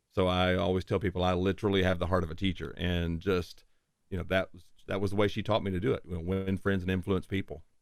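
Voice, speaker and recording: A man with a very deep, low voice and a slight Southern US accent, flat and monotone, on a very clean recording with a silent background. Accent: slight Southern drawl. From Tennessee. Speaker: voice-over producer. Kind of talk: interview podcast.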